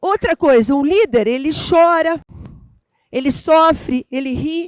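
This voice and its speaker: A woman speaks fairly slowly at a high pitch with ordinary pitch variation. The sound is dry and close, with no echo. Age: 60s. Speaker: business executive and speaker. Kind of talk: keynote talk.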